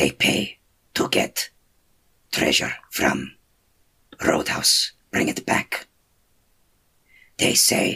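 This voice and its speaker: Someone uses a raspy, put-on character voice at a very slow pace. Long pauses come frequently. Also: man. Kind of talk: gruff creature voice. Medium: actual play. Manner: terse, broken speech without articles.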